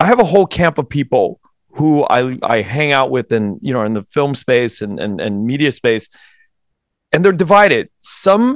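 With an American accent, a man talks at a moderate pace using very wide pitch swings. The sound is dry and close with no echo, on a very clean recording with a silent background. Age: 40s. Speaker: podcast host and Marine veteran. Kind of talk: interview. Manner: halting.

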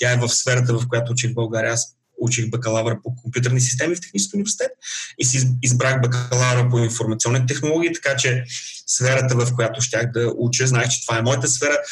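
A man's plain, everyday voice at a medium pitch, with very even loudness, fairly even intonation and a fairly quick pace. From Bulgaria. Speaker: IT professional, immigrant. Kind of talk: interview.

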